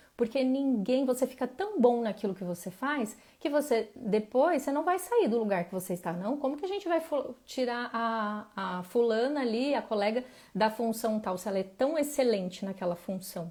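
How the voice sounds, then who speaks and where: With a dark, mellow tone and fairly high pitch, a woman talks at a moderate pace using lively intonation. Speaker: emotional wellness coach. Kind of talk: live stream talk.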